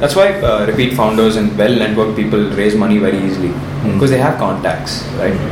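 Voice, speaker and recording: Over noticeable background noise and audible room echo, a man talks at a very fast pace. His voice is fairly low, with ordinary pitch variation. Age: 20s. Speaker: startup founder. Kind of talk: interview.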